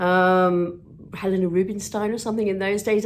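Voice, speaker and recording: A woman speaks at a medium pitch in an English accent. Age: 60s. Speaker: vlogger and TV presenter. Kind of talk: casual vlog monologue. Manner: chatty.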